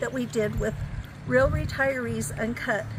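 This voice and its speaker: A woman speaks amid noticeable background noise. Audible room echo surrounds her voice. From Colorado. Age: 60s. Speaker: retired nurse, travel vlogger. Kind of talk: casual interview chat.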